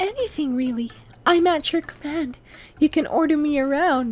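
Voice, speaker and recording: A man puts on a character voice, pitched extremely high. He speaks at a moderate pace. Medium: read story. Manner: prim, sugary.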